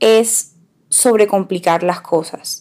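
Fairly even intonation in an ordinary speaking voice. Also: woman. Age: 20s. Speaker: podcast co-host, makeup influencer. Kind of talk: casual chat.

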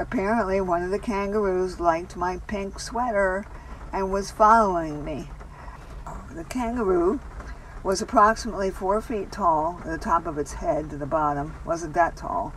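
A woman at a medium pitch and moderate pace, with ordinary pitch variation, over noticeable background noise. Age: 70s. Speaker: storyteller sharing a personal story. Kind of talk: personal story narration.

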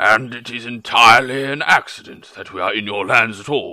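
A man speaks in a put-on character voice at a moderate pace. The recording is very clean, with a silent background. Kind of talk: dramatic book reading in a character voice. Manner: polite, tactful, a little evasive.

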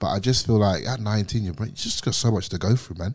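Talking at a very fast pace, a man is heard on a very clean recording with a silent background. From England, Luton. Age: 20s. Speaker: former professional soccer player, TikTok streamer. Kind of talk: casual chat. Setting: home lounge room.

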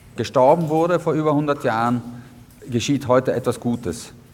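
The man talks at a fairly slow pace. His pitch varies in an ordinary way. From South Tyrol, Italy (Innichen). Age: young. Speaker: historian and museum curator. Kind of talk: guided tour interview. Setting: on location at a mountain fortress. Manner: hesitant with many fillers.

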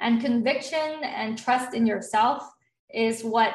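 Here a woman speaks at a fairly high pitch. Her voice is somewhat breathy. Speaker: online business founder and group sales coach. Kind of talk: interview.

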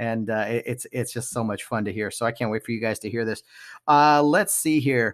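At a moderate pace, a man with an American accent talks in an unremarkable speaking voice, medium in pitch with ordinary pitch variation, and the sound is dry and close with no echo. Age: 30s.

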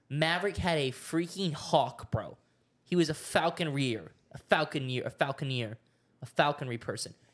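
On a very clean recording with a silent background, a man with an American accent and an ordinary speaking voice talks at a moderate pace, his fairly high pitch showing ordinary variation. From Oklahoma, US. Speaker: podcast co-host. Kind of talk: casual solo chat to camera. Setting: studio with cameras. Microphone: new microphone stand.

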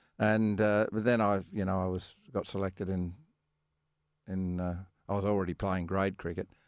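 Very deep and low, a man's voice with an Australian accent moves at a moderate pace in a monotone, flat delivery. Long, frequent pauses break it up, in a very clean recording with a silent background. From Western Australia wheatbelt. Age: 70s. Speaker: retired professional golfer. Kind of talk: interview. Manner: halting.

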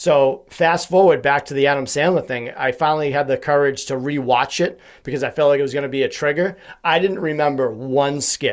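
Fairly even intonation at a fairly quick pace, on a very clean recording with a silent background. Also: man, fairly high pitch for a man. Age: 30s. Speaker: podcast host and mental health advocate. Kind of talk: casual interview conversation. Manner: high-energy.

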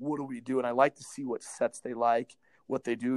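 With an American accent, a man at a medium pitch talks at a fairly quick pace in a monotone, flat intonation, with a dry, close sound and no echo. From Montana. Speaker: high school basketball coach. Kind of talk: casual interview. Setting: remote call from home.

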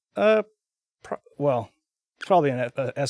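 A man with an American accent speaks at a moderate pace in a plain, everyday voice, medium in pitch with lively intonation, and the sound is dry and close with no echo. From Texas. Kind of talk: casual interview. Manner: many fillers, um and like.

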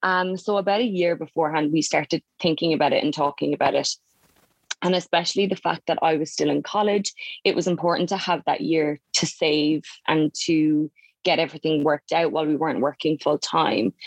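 In a Cork accent, a woman talks fairly quickly at a very deep, low pitch, with ordinary pitch variation, very even loudness, and a dry, close sound with no echo. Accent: southern Irish (Cork). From Ireland, County Cork. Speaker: nurse. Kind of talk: casual interview chat.

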